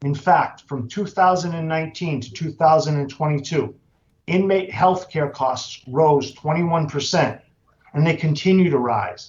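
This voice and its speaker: The clip features an unremarkable speaking voice with ordinary pitch variation. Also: man, fairly high pitch for a man, moderate pace. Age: 60s. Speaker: incarcerated person testifying. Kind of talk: legislative testimony. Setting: committee hearing. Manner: formal.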